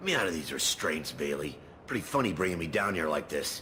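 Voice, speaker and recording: Using a put-on character voice with a very deep, low pitch, a man talks at a very fast pace over clear background noise. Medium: video game. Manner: smug.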